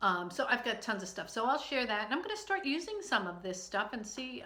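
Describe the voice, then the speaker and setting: A woman speaks at a moderate pace in a fairly high voice, with audible echo from the room. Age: 60s. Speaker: online video host. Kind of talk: casual vlog. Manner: hesitant, many fillers.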